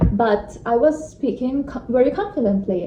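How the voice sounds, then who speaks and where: A woman with a non-native accent speaks at a fairly slow pace, her pitch varying in an ordinary way. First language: not English. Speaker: vlogger. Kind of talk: vlog talk to camera. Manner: hesitant, with fillers.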